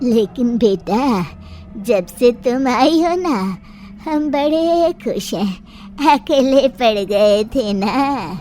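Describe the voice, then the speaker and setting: A female-sounding voice, put on as a character, speaks very slowly at a high pitch. Clear background noise runs underneath. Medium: audio drama.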